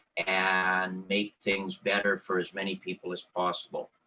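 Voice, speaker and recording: This man speaks with a Canadian accent. His tone is bright and sharp. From Vancouver Island, British Columbia, Canada. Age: 60s. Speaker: election candidate. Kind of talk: candidate opening statement. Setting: virtual online forum. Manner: hesitant, many fillers.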